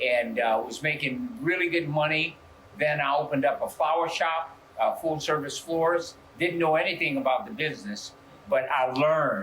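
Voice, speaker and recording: A man with a New Orleans accent speaks at a fairly high pitch with lively intonation. Noticeable background noise runs underneath. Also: moderate pace. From US South, New Orleans. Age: 70s. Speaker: pastor. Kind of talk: interview testimony. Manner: halting, with frequent fillers and repeats.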